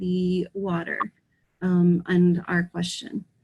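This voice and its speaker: A woman's somewhat breathy voice, moving fairly slowly. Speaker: teacher. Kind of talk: online lesson.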